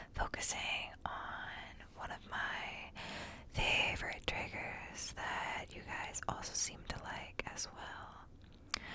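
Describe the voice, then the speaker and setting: Whispering at a very slow pace, a woman can be heard over noticeable background noise. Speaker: ASMR creator. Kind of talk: ASMR whispered book reading and rambling. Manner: whispered, soft-spoken.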